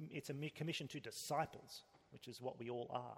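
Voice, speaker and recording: A man with an Australian accent, medium pitch, fairly even intonation and a fairly quick pace. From Australia (Sydney). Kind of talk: interview.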